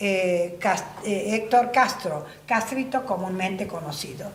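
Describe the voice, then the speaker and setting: Speech with lively intonation comes at a very slow pace, with noticeable background noise and audible room echo. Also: woman. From Argentina, La Banda, Santiago del Estero. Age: 60s. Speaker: folk singer. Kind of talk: interview. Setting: at her home. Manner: halting.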